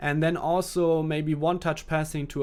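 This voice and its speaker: A man with a German accent and a fairly high voice, at a moderate pace, on a very clean recording with a silent background. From Germany. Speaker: esports gaming coach. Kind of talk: live gameplay commentary with chat Q&A. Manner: hesitant, with restarts and fillers.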